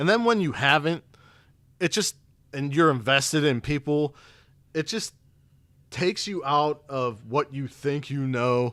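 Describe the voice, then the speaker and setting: Speaking at a fairly slow pace with long, frequent pauses, a man with a fairly high pitch shows ordinary pitch variation in a dry, close sound with no echo. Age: 30s. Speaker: wrestling podcast host. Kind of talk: casual chat. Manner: animated.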